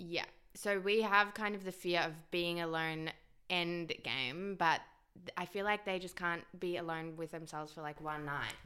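This woman's voice sits fairly low and has a bright, sharp tone. Her pace is moderate. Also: fairly even intonation. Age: 20s. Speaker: podcast co-host. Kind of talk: casual chat.

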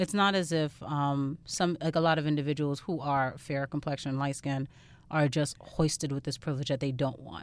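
A woman's very deep, low voice with a New York accent, fairly even intonation and a moderate pace, on a very clean recording with a silent background. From Far Rockaway, Queens, New York. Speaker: guest. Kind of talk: casual chat.

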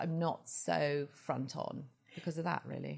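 A woman speaks with a southern English accent. Vocal fry comes through in her voice. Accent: southern English (British). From England, Surrey village near London. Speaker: fashion blogger and TV correspondent. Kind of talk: interview.

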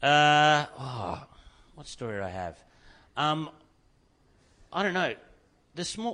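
A man with an Australian accent speaks at a moderate pace in a bright, sharp tone, his pitch swinging very widely. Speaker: stand-up comedian. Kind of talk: casual chat. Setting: studio.

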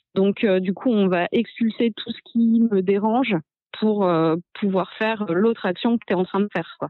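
With an ordinary speaking voice, a woman talks fairly slowly in a medium pitch, using ordinary pitch variation. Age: 30s. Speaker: cyclist and communications worker. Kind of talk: casual chat.

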